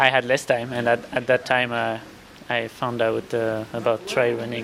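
Noticeable background noise sits behind a man speaking in a flat, monotone way. He leaves long, frequent pauses. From France. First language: French. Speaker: ultra trail runner. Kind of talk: interview. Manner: halting.

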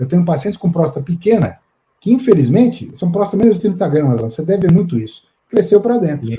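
A man talks at a very fast pace with a high pitch and very wide pitch swings. His tone stays dark and mellow. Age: 60s. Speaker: urologist. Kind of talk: live-stream interview. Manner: halting.

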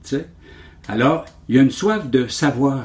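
This is a man speaking. His intonation is lively. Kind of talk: interview.

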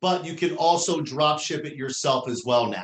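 A man with a New Jersey accent, fairly high in pitch, with ordinary pitch variation. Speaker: interview guest, company president.

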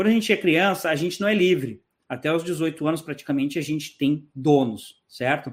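A man talks at a moderate pace in an ordinary speaking voice, pitched fairly high with ordinary pitch variation. The recording is very clean, with a silent background. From southern Brazil, Porto Alegre. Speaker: emigration YouTuber. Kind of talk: interview.

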